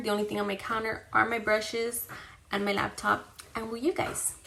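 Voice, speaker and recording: Noticeable background noise and audible room echo fill this clip. A woman talks at a fairly quick pace with a medium pitch. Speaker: beauty vlogger, mother. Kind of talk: makeup tutorial, casual chat. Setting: home bathroom vanity. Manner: loud.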